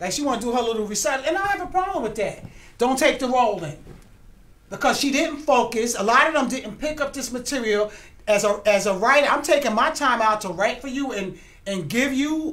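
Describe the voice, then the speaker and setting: Loud and animated, a woman speaks at a high pitch with lively intonation amid audible room echo. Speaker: writer and producer of a TV series. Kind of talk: casual interview chat.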